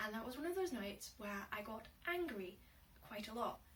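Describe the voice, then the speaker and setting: Audible room echo surrounds a woman speaking at a moderate pace in an Inverness-shire accent. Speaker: vlogger and aspiring writer. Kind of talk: casual vlog monologue. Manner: hesitant, many fillers.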